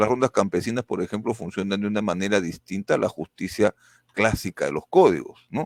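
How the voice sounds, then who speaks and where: A man speaks at a moderate pace with lively intonation, in a normal speaking voice. The sound is dry and close with no echo, on a very clean recording with a silent background. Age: 60s. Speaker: political candidate. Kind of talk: political interview.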